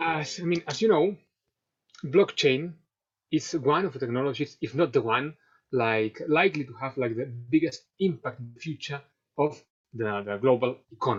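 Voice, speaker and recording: Lively in intonation, a man with a fairly high pitch talks with big swings in loudness. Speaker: fintech advisor and webinar speaker. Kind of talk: webinar presentation. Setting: online webinar. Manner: fast; many fillers and repetitions.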